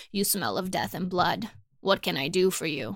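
Putting on a character voice, a woman sounds raspy at a medium pitch. She keeps a moderate pace with lively intonation.

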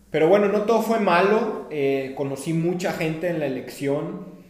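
A man with lively intonation at a fairly slow pace, with audible room echo and noticeable background noise. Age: 30s. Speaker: activist and entrepreneur. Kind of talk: interview.

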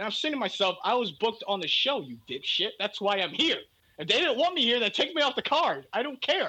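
His voice raised and projected, a man speaks at an extremely high pitch with very wide pitch swings. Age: 20s. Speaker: online wrestling league organizer. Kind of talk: casual chat.

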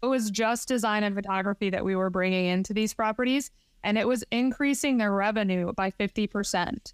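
A woman with an American accent talks at a fairly quick pace and a fairly high pitch, with ordinary pitch variation. The recording is very clean with a silent background and a dry, close sound with no echo. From Michigan, US. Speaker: short-term rental investor and designer. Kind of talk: interview conversation.

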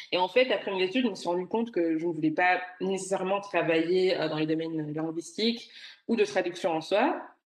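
A woman's voice rests at a medium pitch. Noticeable background noise can be heard behind her. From Belgium (Brussels), Rwandan roots. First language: Kinyarwanda (speaking French). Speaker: tech professional, expat. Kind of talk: interview conversation.

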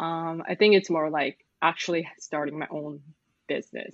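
Here is an ordinary speaking voice from a woman at a fairly low pitch. She keeps a moderate pace. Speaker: arts manager and freelance translator, podcast co-host. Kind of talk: casual chat. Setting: remote call from Singapore.

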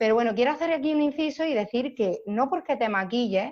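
Here is a woman with a high pitch. Her intonation is lively. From Almería, Andalusia, Spain. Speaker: makeup artist. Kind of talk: casual interview chat.

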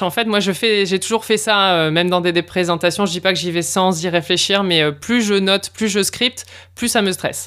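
A woman uses a normal speaking voice at a medium pitch and a moderate pace, on a very clean recording with a silent background. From northern France, Lille. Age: 40s. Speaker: podcast producer. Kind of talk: casual interview.

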